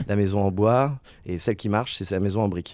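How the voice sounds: A man's fairly low, dark, mellow voice at a fairly quick pace, with ordinary pitch variation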